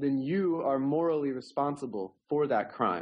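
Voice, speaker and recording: With an American accent and an unremarkable speaking voice, a man speaks at a fairly slow pace and a fairly high pitch. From Oklahoma, US (Tulsa). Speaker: novelist and roboticist. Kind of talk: interview.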